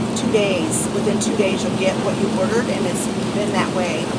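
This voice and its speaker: A woman talks at a moderate pace while loud background noise fills the recording. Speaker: vlogger. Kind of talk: casual vlog chat. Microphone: phone near.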